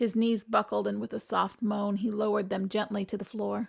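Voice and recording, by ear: Someone is reading aloud in a natural voice. The text is read through.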